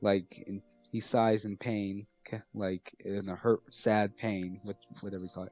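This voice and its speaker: A man at a fairly slow pace, monotone and flat in intonation, with big swings in loudness and music in the background. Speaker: fan fiction storyteller. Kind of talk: casual story narration. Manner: halting, many restarts.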